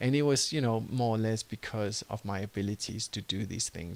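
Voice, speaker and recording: A man's medium-pitched voice, fairly quick, with ordinary pitch variation, on a very clean recording with a silent background. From Denmark. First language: Danish. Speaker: entrepreneur and online course creator. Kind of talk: tutorial.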